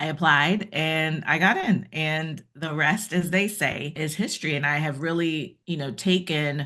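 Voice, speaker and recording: A woman's very deep, low voice with a bright, sharp tone, at a moderate pace against a quiet background. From Jamaica, moved to US at nine. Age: 50s. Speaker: former trial lawyer turned keynote speaker. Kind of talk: interview conversation.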